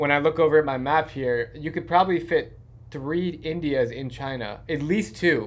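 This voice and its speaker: A man with an American accent talks in a normal speaking voice at a fairly high pitch. The recording is very clean, with a silent background. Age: 30s. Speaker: podcast host. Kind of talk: casual interview. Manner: fast, rambling with fillers.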